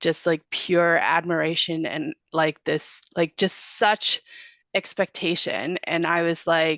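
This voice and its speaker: In a quiet background, a woman speaks very slowly at a fairly low pitch. Her intonation is fairly even, and the sound is dry and close with no echo. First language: not English. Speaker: goat farmer. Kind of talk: casual interview chat. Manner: hesitant, many fillers.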